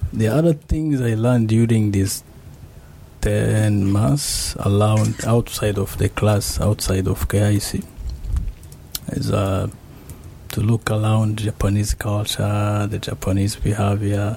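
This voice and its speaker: With noticeable background noise behind him, a man speaks at a very slow pace, his fairly low voice keeping a fairly even intonation. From Rwanda. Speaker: master's student in IT. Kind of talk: radio interview.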